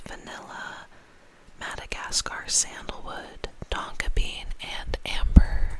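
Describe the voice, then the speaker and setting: Someone whispers over noticeable background noise. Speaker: ASMR content creator. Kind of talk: ASMR whispered perfume review. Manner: whispered, soft.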